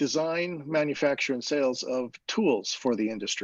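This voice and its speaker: This man's voice is pitched fairly high. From Canada (Saskatchewan). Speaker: entrepreneur, instrument repair technician. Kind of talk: presentation on video call.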